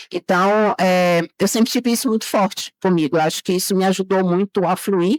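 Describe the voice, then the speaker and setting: A woman at a medium pitch and moderate pace, with ordinary pitch variation and hardly any pauses, in a very clean, dry, close recording with a silent background and no echo. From Bahia, Brazil. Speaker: chemical engineer. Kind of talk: interview.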